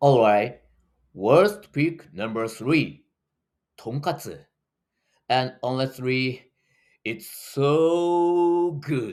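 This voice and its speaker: A man with a Japanese accent speaks very slowly in a fairly high pitch, with lively intonation. Long, frequent pauses break up his speech on a very clean recording with a silent background. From Japan, Tokyo. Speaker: running tour guide. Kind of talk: video tutorial.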